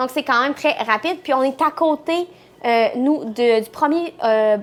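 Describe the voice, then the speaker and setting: Speaking fairly slowly, a woman with a high voice shows ordinary pitch variation. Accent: Quebec. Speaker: travel vlogger. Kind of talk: casual chat.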